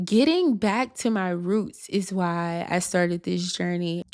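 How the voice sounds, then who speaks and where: The tone is animated. The speaker has a Louisiana accent. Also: woman, very clean recording, silent background. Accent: Louisiana US Southern. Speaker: YouTuber. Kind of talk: vlog monologue.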